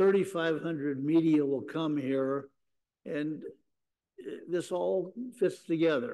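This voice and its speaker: Speaking at a very slow pace with long, frequent pauses, a man has a fairly high pitch and a dark, mellow tone. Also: ordinary pitch variation, quiet background. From US Midwest. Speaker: sports business executive; panelist. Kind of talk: panel discussion. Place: hall.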